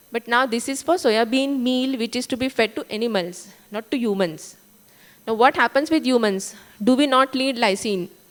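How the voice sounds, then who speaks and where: A woman with an Indian accent speaks at a moderate pace in a high pitch. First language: Marathi. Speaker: food testing lab director. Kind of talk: conference talk. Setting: conference stage.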